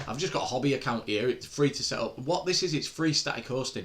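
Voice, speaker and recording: Vocal fry marks this man's voice. He speaks at a very fast pace. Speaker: web developer streaming a coding tutorial. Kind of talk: live stream tutorial. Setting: live stream, screen sharing. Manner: halting, many fillers and repeats.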